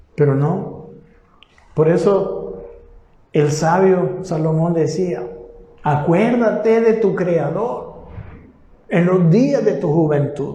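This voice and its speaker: Through noticeable background noise and audible room echo, a man speaks with ordinary pitch variation. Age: 60s. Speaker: pastor. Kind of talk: sermon. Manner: halting.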